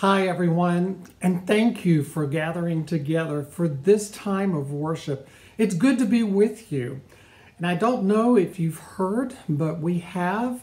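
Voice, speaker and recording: A man speaks at a high pitch with ordinary pitch variation. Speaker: pastor. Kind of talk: welcome announcement and prayer. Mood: warm, welcoming. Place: home room. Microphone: phone near.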